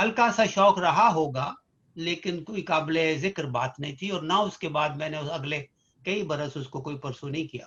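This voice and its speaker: This man has an ordinary speaking voice. His pitch sits fairly high and varies in an ordinary way. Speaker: physician and poet. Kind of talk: interview.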